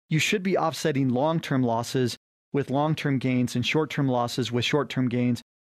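A man talks in an ordinary speaking voice at medium pitch, with ordinary pitch variation and very even loudness. His pace is moderate, and the background is quiet. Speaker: financial advisor radio host. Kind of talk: infomercial sales pitch. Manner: urgent, pitchy call-to-action; promotional, persuasive and salesy.

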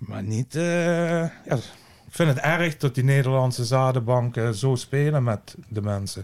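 This man has an ordinary speaking voice at a medium pitch. Its pitch varies in an ordinary way. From Dutch Limburg. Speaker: cannabis grower. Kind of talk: casual interview. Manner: blunt, outspoken.

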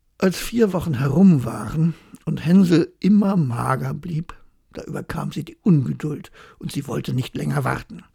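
A woman talking at a fairly slow pace. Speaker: bedtime story narrator. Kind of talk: bedtime story telling, calm fairy-tale reading aloud. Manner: slow, soft, soothing.

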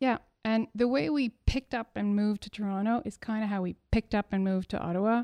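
In a Montreal accent, a woman with a medium pitch and a dark, mellow tone speaks at a moderate pace with ordinary pitch variation, the sound dry and close with no echo and the background quiet. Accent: Montreal anglophone Canadian English. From Quebec, Montreal. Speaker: artist. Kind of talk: interview conversation.

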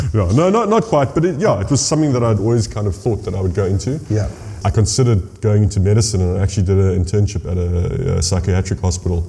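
Noticeable background noise sits behind a man with a fairly low pitch and ordinary pitch variation. He speaks at a very fast pace with hardly any pauses. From South Africa, Hermanus. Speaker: winemaker. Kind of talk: casual interview.

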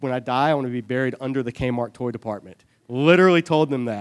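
A man with an American accent talks at a very fast pace with ordinary pitch variation, recorded very cleanly against a silent background. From US South, Savannah, Georgia. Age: 30s. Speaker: church adult education teacher. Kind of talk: Bible study lecture. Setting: church classroom with audience.

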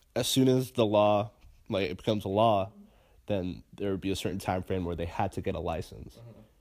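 Over a silent background in a very clean recording, a man talks in a plain, everyday voice at a fairly low pitch and fairly quick pace. His pitch variation is ordinary, while his loudness swings a lot. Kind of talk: casual banter. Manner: jokey.

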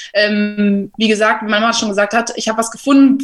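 Fairly high and somewhat breathy, a woman's voice moves at a fairly quick pace with fairly even intonation. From Germany, Berlin. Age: 20s. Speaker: rugby player and journalist. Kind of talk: casual interview. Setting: home office.

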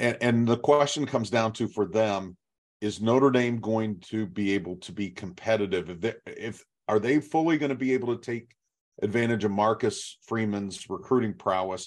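A man with a normal speaking voice at a moderate pace, medium pitch and ordinary pitch variation, against a quiet background. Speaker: podcast co-host and reporter. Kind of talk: podcast discussion.

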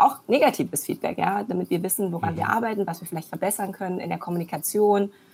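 A woman has a normal speaking voice, fairly low in pitch with ordinary pitch variation. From Germany, born in China. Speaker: entrepreneur, serial founder. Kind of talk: interview. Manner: many filler sounds.

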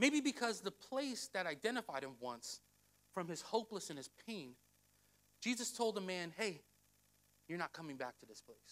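At a moderate pace, a man with a high pitch speaks in an animated tone, with very wide pitch swings, big swings in loudness and long, frequent pauses. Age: 30s. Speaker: pastor. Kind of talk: sermon.

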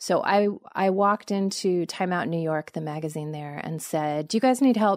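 In a Californian accent, a woman talks at a medium pitch with ordinary pitch variation, in a very clean recording with a silent background and a dry, close sound with no echo. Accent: General American, Californian. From US West Coast, Los Angeles. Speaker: journalist and author. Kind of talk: interview conversation.

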